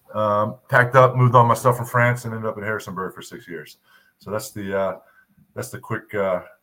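A bright, sharp voice with an American accent, fairly quick pace, ordinary pitch variation and big swings in loudness. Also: man. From US, Virginia Beach, Virginia. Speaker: women's basketball assistant coach, former pro player. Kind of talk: interview. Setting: remote video call.

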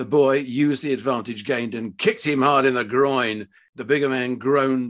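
With fairly even intonation, the text comes in an unforced reading voice.

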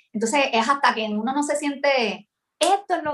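This woman speaks with a Puerto Rican accent. Her pitch varies in an ordinary way. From Puerto Rico, San Juan. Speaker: singer-songwriter and music teacher. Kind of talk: interview. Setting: video call. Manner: halting.

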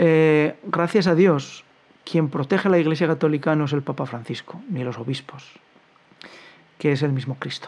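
A man with a fairly high pitch talks at a moderate pace and ordinary pitch variation. He leaves long, frequent pauses. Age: 50s. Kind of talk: commentary monologue.

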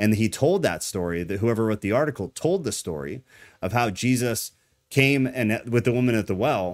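With lively intonation and a fairly quick pace, a man in a normal speaking voice talks at medium pitch on a very clean recording with a silent background. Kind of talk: live-stream discussion about church and culture. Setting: live stream with chat viewers. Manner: casual, conversational, opinionated.

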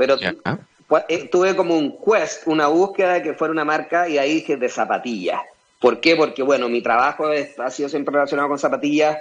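A man's fairly high voice, ordinary pitch variation, fairly quick delivery. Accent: Chilean. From Chile. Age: 40s. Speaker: entrepreneur and former pro skateboarder. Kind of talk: interview.

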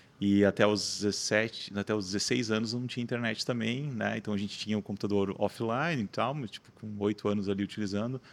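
In a normal speaking voice, a man with a fairly low pitch talks at a fairly quick pace with hardly any pauses and fairly even intonation. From Santa Catarina, Brazil (Rio do Sul). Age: 30s. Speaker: marketing agency founder. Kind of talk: podcast interview.

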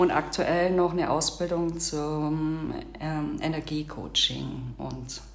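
A woman with a Swabian accent speaks with big swings in loudness, and the room echo is audible. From Bavarian Swabia, Augsburg area. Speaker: podcast co-host. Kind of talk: casual chat.

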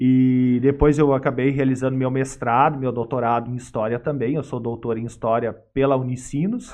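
It is an unremarkable speaking voice. The pace is moderate. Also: man. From Sapiranga, Rio Grande do Sul, Brazil. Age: 40s. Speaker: history professor. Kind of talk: interview, lecture-like explanation. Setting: studio.

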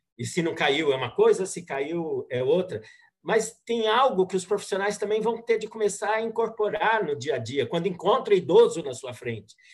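This man talks at a high pitch with lively intonation. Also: moderate pace. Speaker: gerontology channel co-host. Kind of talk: interview questions.

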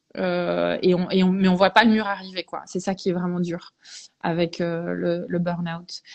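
Her intonation is monotone and flat, and this woman's pitch sits fairly low. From Belgium, English parents. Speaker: veterinarian. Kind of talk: interview, personal testimony. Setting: Instagram live video stream.

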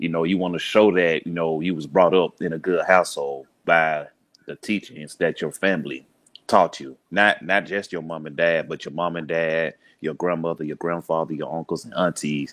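A man with a Southern US accent speaks at a moderate pace in a very deep, low pitch, his tone relaxed and intonation fairly even despite big swings in loudness. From US South, Birmingham, Alabama. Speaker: podcaster, community organizer. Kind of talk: podcast interview. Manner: relaxed, conversational.

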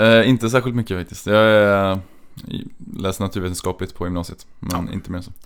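A man talks at a fairly quick pace in an ordinary speaking voice, pitched fairly low, with fairly even intonation and big swings in loudness. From Trollhättan, western Sweden. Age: 20s. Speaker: speed skater. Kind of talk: interview. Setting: studio.

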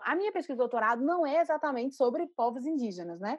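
With a Pernambuco accent, a woman talks in lively intonation. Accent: northeastern Brazilian (Pernambuco). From Recife, northeastern Brazil. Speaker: art curator and critic. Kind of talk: interview. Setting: video call.

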